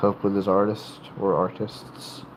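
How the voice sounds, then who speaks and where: With an American accent, a man speaks at a fairly low pitch against noticeable background noise. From North Carolina, US South. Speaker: livestreamer with tattoos and piercings. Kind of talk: casual livestream chat. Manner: halting, many fillers and restarts.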